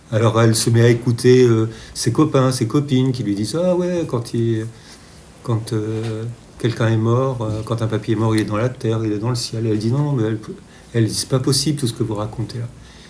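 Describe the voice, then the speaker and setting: The speaker leaves long, frequent pauses. Noticeable background noise runs underneath. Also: man, medium pitch for a man, ordinary pitch variation, moderate pace. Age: 60s. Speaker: children's book author. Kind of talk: interview. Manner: halting.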